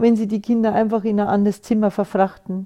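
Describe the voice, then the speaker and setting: A woman with a fairly high pitch and a dark, mellow tone speaks at a fairly quick pace with fairly even intonation, the very clean recording having a silent background and a dry, close sound with no echo. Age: 60s. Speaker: podcast host. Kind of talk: personal monologue. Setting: studio.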